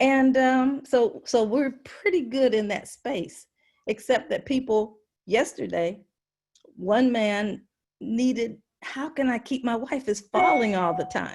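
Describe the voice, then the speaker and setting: Speaking very slowly in a high voice, a woman with an American accent sounds passionate, her intonation lively. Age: 70s. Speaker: work group member and caregiver support group leader. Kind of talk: meeting discussion.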